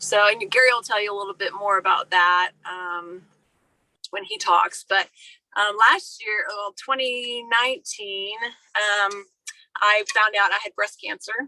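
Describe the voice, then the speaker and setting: Heard as a dry, close sound with no echo, a plain, everyday voice moves at a fairly slow pace with ordinary pitch variation. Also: woman, medium pitch for a woman. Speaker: military spouse entrepreneur. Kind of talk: panel presentation. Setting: video call.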